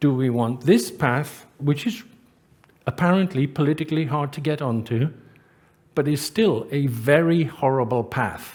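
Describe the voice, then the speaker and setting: Somewhat breathy and fairly high-pitched, a man speaks at a fairly slow pace with ordinary pitch variation. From Britain. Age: 60s. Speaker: professor of engineering and sustainability. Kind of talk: conference talk.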